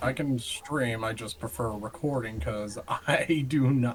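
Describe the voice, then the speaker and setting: The man here speaks at medium pitch with ordinary pitch variation. Background noise is noticeable. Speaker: gaming YouTuber. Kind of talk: casual chat.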